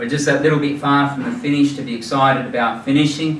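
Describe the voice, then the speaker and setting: With an Australian accent, a man speaks at a fairly quick pace in a fairly high pitch, with audible room echo and light background noise. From New South Wales, Australia. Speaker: charity founder, former forensic police officer. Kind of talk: presentation to a club audience. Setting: live audience at a club dinner. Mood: earnest, moved. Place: hall.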